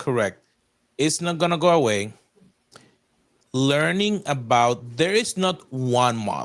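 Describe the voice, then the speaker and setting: Very slow, with long, frequent pauses, a man with a Spanish accent talks at a fairly high pitch with very wide pitch swings. The recording is very clean with a silent background. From Puerto Rico. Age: 40s. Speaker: technologist and faith-based strategist. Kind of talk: podcast interview.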